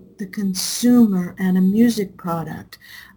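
A woman speaks with an American accent in a somewhat breathy voice, her tone dark and mellow, with ordinary pitch variation. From Southern California, Anaheim. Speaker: music professor and former recording engineer. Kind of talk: interview.

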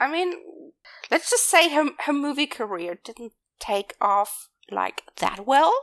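A woman with a high voice speaks fairly slowly in a dry, close sound with no echo, her pitch swinging very widely, her loudness shifting a lot and her pauses long and frequent. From Germany. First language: German. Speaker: podcast co-host. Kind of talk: casual chat.

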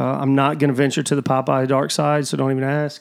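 Speaking at a fairly quick pace, a man uses an ordinary speaking voice, fairly high in pitch, with fairly even intonation. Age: 40s. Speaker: professional fisherman. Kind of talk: casual chat. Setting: living room.

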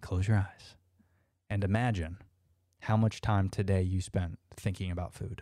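A man with a Floridian accent talks at a moderate pace and a fairly low pitch, with monotone, flat intonation. He leaves long, frequent pauses, and the recording is very clean with a silent background. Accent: Florida American English. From US South, Orlando, Florida. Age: 30s. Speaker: podcast host. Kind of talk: casual interview chat; improvised guided visualization addressed to listeners, asking them to close their eyes. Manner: casual, filler-heavy, frequent uhs and restarts.

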